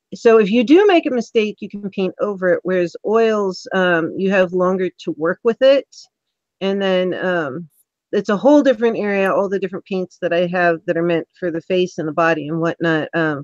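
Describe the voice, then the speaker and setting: Speaking fairly quickly with an American accent, a woman uses lively intonation at a medium pitch, her sound dry and close with no echo. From California. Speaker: interview show host. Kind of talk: live interview stream. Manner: animated.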